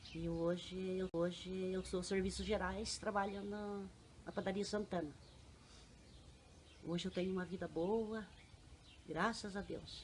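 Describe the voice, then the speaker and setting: The speaker talks at a fairly slow pace in a monotone, flat intonation, with long, frequent pauses. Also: woman, medium pitch for a woman. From Paraná interior, Brazil (Laranjeiras do Sul area). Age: 50s. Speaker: general services worker. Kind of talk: life story interview.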